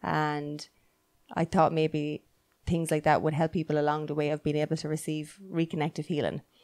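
Against a quiet background, a woman with an Irish accent speaks at a moderate pace in a very deep, low pitch with monotone, flat intonation. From Ireland. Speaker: podcast host; podcast co-host. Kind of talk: interview. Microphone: handheld.

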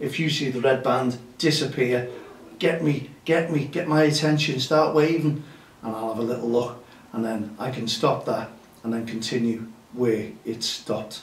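There is audible room echo as a man speaks at a moderate pace with ordinary pitch variation. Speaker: grassroots football show host. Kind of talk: casual show chat. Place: studio.

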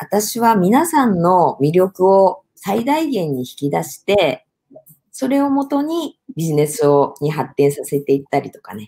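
A woman speaks at a fairly slow pace, somewhat breathy, with very wide pitch swings. Her loudness swings a lot, and the background is quiet. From Hokkaido, Japan. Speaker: business producer and speech contest finalist. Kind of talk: interview.

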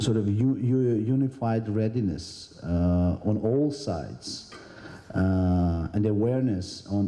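A man's unremarkable speaking voice, fairly low in pitch, with ordinary pitch variation. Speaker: government minister. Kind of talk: conference speech. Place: hall. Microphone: handheld.

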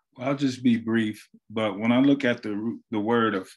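At a moderate pace, a man with an American accent speaks against a quiet background. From US Pacific Northwest. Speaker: high school principal. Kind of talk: panel discussion. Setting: video call. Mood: earnest, reflective. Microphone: video call.

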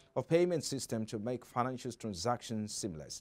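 This man speaks at a fairly quick pace. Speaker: news anchor. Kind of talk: news reading. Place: studio. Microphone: lapel.

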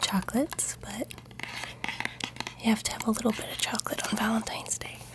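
The speaker is a woman who whispers. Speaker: ASMR creator. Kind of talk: ASMR show-and-tell. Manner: soft-spoken, whispery. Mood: warm, amused. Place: home room.

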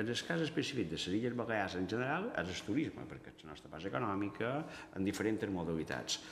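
A man at a very fast pace, fairly low in pitch, with very wide pitch swings and big swings in loudness, amid light background noise and audible room echo. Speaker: university geography researcher. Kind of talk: press conference presentation. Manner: halting, many fillers. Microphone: podium.

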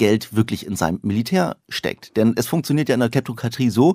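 Lively intonation runs through a man's medium-pitched voice, which has a dark, mellow tone and a fairly quick pace. The sound is dry and close with no echo, on a very clean recording with a silent background. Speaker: satirist, author and actor. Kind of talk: casual chat.

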